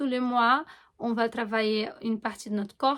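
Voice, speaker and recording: A woman's fairly high voice with a Portuguese accent, at a moderate pace, in a very clean recording with a silent background. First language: Portuguese (speaking French). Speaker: astrologer and holistic coach. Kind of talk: informal explanatory monologue to camera. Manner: hesitant, many fillers and self-corrections.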